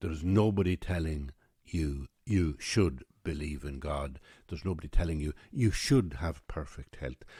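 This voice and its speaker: A man's very deep, low pitch with vocal fry, a dark, mellow tone, ordinary pitch variation and a moderate pace in a very clean recording with a silent background. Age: 60s. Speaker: podcaster. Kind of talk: reflective monologue.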